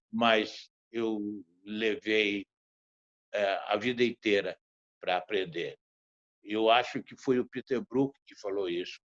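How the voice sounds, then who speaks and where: A man at a very slow pace, fairly low-pitched and fairly even in intonation, with big swings in loudness, long frequent pauses, and a dry, close sound with no echo. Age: 80s+. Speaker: theatre director. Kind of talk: panel talk.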